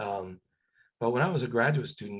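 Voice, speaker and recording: The speaker is a man with a somewhat breathy, medium-pitched voice. He talks at a moderate pace. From Cuba. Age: 60s. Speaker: retired scientist. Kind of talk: career advice talk. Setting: webinar video call. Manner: halting, many fillers and repetitions.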